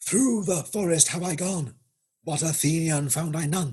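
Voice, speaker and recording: A man puts on a character voice. He talks at a moderate pace in a high pitch. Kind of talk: formal, theatrical.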